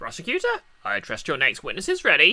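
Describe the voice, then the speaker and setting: A man speaks in a put-on character voice at a fairly quick pace. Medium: game stream. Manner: stern, curt.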